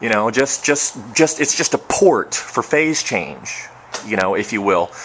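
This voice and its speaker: Mumbling at a fairly slow pace, a man with a medium pitch makes very wide pitch swings over noticeable background noise. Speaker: home distiller. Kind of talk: video tutorial.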